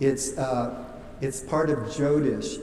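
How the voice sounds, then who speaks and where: Fairly slow speech from a man at medium pitch, with audible room echo and noticeable background noise. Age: 60s. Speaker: wedding officiant. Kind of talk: wedding ceremony address. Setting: wedding venue with guests.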